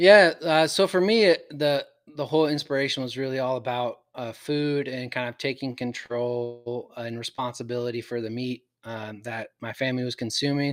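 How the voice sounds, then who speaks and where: A man with a West Coast accent talks with hardly any pauses and ordinary pitch variation. His loudness swings widely. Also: medium pitch for a man, moderate pace. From Oregon, Portland area. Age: 40s. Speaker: hunter. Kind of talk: casual chat.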